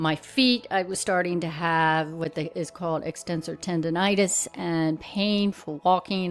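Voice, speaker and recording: With hardly any pauses, a woman speaks at a moderate pace in a fairly low pitch and fairly even intonation. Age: 60s. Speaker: lifestyle vlogger. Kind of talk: personal talk to camera. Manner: halting.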